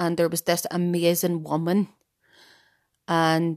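A woman with a Northern Irish accent is heard in a very clean recording with a silent background and a dry, close sound with no echo. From Ireland. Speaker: podcast host. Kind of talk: casual monologue. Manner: animated.

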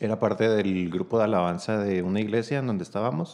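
This man keeps a moderate pace. His voice is medium in pitch. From Chihuahua, Mexico. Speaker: cellist, singer and music school director. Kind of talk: casual interview chat.

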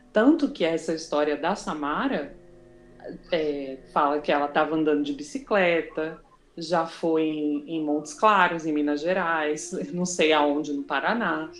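A woman's very deep, low voice with ordinary pitch variation at a fairly slow pace, amid noticeable background noise. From Brazil. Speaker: podcast host. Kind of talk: casual chat.

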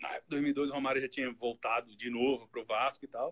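A fairly high-pitched man at a moderate pace, an unremarkable speaking voice, with a dry, close sound and no echo. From Brazil, Santa Catarina (Florianópolis). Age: 30s. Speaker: football statistician. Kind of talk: casual chat.

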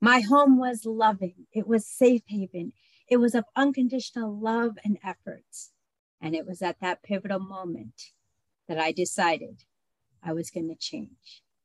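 In a dry, close sound with no echo, a woman with an American accent uses an ordinary speaking voice at a medium pitch, with ordinary pitch variation and a moderate pace. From adopted from Colombia as a baby, raised in the US. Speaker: personal accountability coach. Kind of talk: interview, personal testimony.

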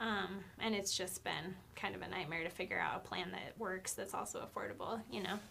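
A bright, sharp tone with vocal fry comes in an American accent. The intonation is fairly even and the pace fairly quick. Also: woman, medium pitch for a woman, hardly any pauses. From Idaho (Nampa). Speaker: PR firm founder and CEO. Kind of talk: casual chat.

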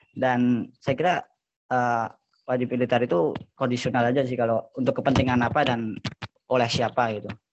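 Speaking fairly quickly, a man with a plain, everyday voice keeps a medium pitch and fairly even intonation. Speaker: university student.

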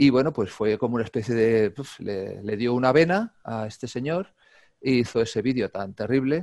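This man has a plain, everyday voice, medium in pitch, moving at a moderate pace with ordinary pitch variation. The sound is dry and close with no echo, over a quiet background. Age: 50s. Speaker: calisthenics YouTuber and gymnastics coach. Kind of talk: casual interview chat.

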